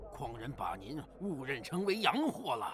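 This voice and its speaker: Doing a cartoonish character voice, a man speaks at a moderate pace with a fairly high pitch. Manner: direct, eager.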